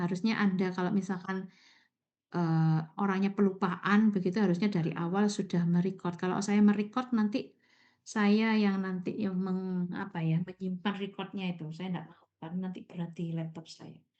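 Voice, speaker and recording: A woman speaks at a medium pitch in a dark, mellow tone with fairly even intonation. Her loudness swings widely against a quiet background. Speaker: university lecturer. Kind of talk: online lecture. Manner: slow, deliberate explaining.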